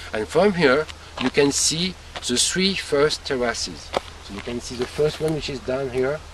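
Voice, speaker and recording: With a French accent and a fairly high pitch, a man speaks at a moderate pace with ordinary pitch variation over noticeable background noise. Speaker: winemaker. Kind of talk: explanatory tour talk to visitors. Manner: halting, searching for English words.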